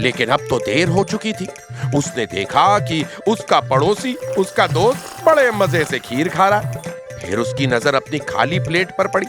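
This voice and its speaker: Music plays in the background as a man speaks at a fairly high pitch with very wide pitch swings. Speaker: storyteller. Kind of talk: folk tale narration. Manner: lively, expressive.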